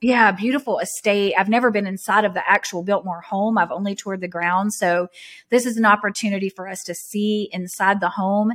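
A normal speaking voice from a woman, medium in pitch, fairly quick, with fairly even intonation and a very clean recording over a silent background. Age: 30s. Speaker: podcast co-host. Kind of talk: casual chat.

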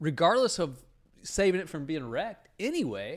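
In a very clean recording with a silent background, a man talks with very wide pitch swings. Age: 50s. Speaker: podcast co-host, father. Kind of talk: casual chat. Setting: home studio.

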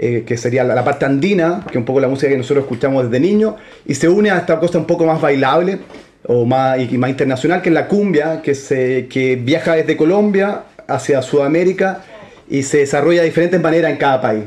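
Fairly high in pitch, a man with a plain, everyday voice speaks at a fairly quick pace, with ordinary pitch variation and very even loudness. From Santiago, Chile. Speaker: band musician. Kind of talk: interview.

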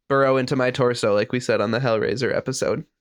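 Here a man talks at a fairly quick pace in an unremarkable speaking voice. The sound is dry and close with no echo over a quiet background. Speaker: podcast host. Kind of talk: casual chat.

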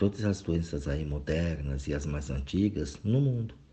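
Very slowly, a man speaks in a very deep, low voice that is somewhat breathy. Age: 40s. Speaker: spiritual reflection speaker. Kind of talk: recorded monologue reflection. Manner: casual, conversational.

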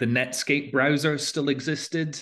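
A man with a Scottish accent. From Scotland. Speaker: fintech founder, former researcher. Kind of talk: interview. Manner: halting.

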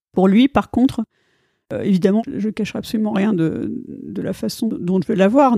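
Dark and mellow in tone, a woman's medium-pitched voice moves at a moderate pace with ordinary pitch variation, dry and close with no echo on a very clean recording with a silent background. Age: 40s. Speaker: flight attendant. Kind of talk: interview, personal testimony. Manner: halting, frequent repetitions and hesitations.

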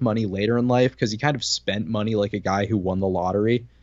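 A man's fairly low voice, very fast, with ordinary pitch variation. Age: 20s. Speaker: podcast host. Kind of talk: casual chat. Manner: quick-witted, joking.

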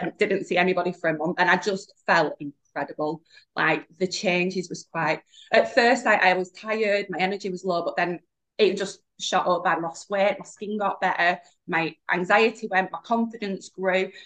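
Her intonation fairly even, a woman speaks with a northern English accent. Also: medium pitch for a woman, moderate pace. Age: 30s. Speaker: podcast guest, alcohol-free business owner. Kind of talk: casual chat.

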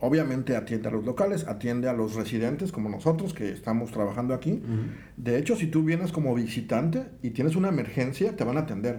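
Speaking at a fairly quick pace with lively intonation, a man with a medium pitch and a dark, mellow, somewhat breathy tone is heard with audible room echo. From Mexico, Veracruz. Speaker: engineer in hospital construction. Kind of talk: casual chat.

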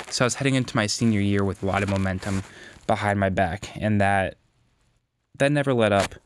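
Fairly low in pitch, a man talks at a fairly quick pace with fairly even intonation and long, frequent pauses, in a very clean recording with a silent background. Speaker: podcast host, physical therapy student. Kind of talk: solo podcast monologue. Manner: casual, rambling.

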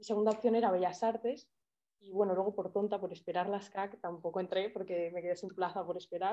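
Speaking in an unremarkable speaking voice, a woman of medium pitch talks at a fairly quick pace with fairly even intonation and big swings in loudness. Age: 20s. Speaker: art student and photographer. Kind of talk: casual interview.

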